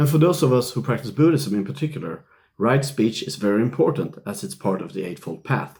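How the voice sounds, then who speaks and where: Pitched at a medium level, a man talks at a moderate pace with vocal fry and very wide pitch swings. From Sweden. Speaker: Zen Buddhist priest. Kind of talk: casual video commentary. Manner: conversational with fillers.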